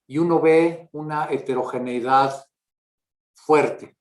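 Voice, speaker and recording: Fairly high in pitch, this man talks with fairly even intonation. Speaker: mathematics professor. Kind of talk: lecture. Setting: video call. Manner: slow; halting.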